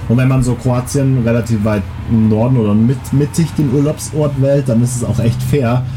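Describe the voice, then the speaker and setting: At a moderate pace, a man talks with fairly even intonation and very even loudness, amid audible room echo and noticeable background noise. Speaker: podcast co-host. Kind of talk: casual chat. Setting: outdoors on holiday balcony.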